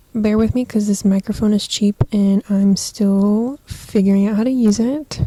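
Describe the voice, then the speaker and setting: A woman speaks fairly slowly with an American accent, her somewhat breathy voice fairly even in intonation and dry and close with no echo. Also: very even loudness. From Southern California. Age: 20s. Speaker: podcaster. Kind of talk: casual chat. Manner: casual, filler-heavy. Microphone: cheap microphone.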